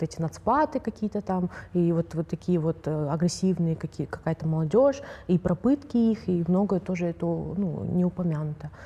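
This woman has a fairly low pitch, a dark, mellow tone, and a somewhat breathy voice. Her pace is moderate, with ordinary pitch variation. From Kazakhstan. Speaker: journalist and activist. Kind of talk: casual panel discussion.

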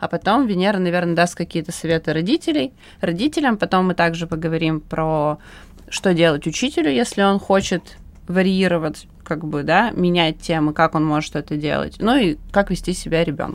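With an unremarkable speaking voice, a woman talks at a moderate pace, her fairly low pitch showing ordinary pitch variation. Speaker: podcast host. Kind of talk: moderated panel discussion. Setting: studio.

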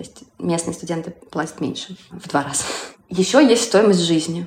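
Her pace is moderate. It is a woman speaking. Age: 30s. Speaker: singer-songwriter, former marketer. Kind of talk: interview.

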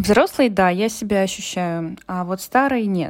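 A woman with a normal speaking voice, medium pitch and ordinary pitch variation, at a moderate pace. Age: 30s. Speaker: psychologist. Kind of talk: recorded monologue answering questions.

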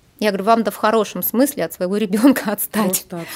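A woman speaks in an ordinary speaking voice with ordinary pitch variation. Her pitch is fairly high. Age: 40s. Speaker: astropsychologist. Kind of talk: interview. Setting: studio.

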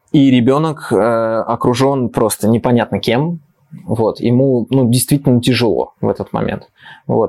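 A man speaks at a moderate pace with fairly even intonation and medium pitch. He has a plain, everyday voice. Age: 30s. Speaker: children's science show presenter. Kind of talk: casual chat. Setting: studio.

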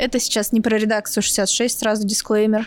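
A woman speaks at a moderate pace with fairly high pitch. It is a plain, everyday voice. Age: 20s. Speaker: journalist, podcast host. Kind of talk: casual chat.

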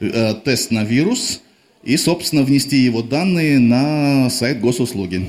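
In a plain, everyday voice, a man talks at a medium pitch with ordinary pitch variation. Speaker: rock band frontman. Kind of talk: on-stage interview. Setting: club stage.

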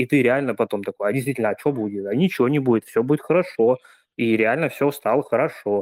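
A man speaks at a very fast pace in a medium pitch with ordinary pitch variation, the sound dry and close with no echo. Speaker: frequent participant. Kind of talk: testimony.

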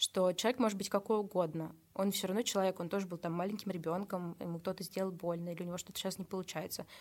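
A woman talks very fast at a medium pitch, her intonation flat and monotone. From Russia, Nizhny Novgorod region. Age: 20s. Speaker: social media manager and photographer. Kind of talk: casual interview chat.

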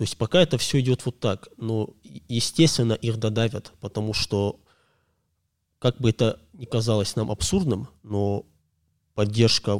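In a very clean recording with a silent background and a dry, close sound with no echo, a man speaks fairly slowly at a medium pitch with ordinary pitch variation. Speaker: podcast guest, commentator. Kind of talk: casual conversation.

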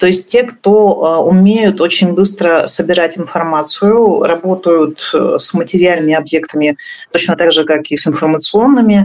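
Delivered at a moderate pace, this is a normal speaking voice with ordinary pitch variation. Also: woman. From northern Russia. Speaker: tourism entrepreneur. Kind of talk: interview.

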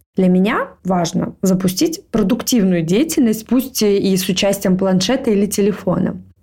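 A woman with a plain, everyday voice speaks at a moderate pace and a medium pitch. Her loudness is very even, her pitch variation ordinary, and she hardly pauses. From Moscow, Russia. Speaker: podcast co-host. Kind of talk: casual chat.

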